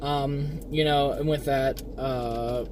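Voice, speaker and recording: A man talks as noticeable background noise plays behind him. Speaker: streamer. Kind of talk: casual unboxing chat. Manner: hesitant, many fillers.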